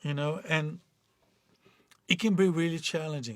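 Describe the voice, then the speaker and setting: With a Portuguese accent, a man talks at a moderate pace in a fairly high pitch with ordinary pitch variation, on a very clean recording with a silent background. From Brazil. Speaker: life coach. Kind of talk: motivational talk. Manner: halting.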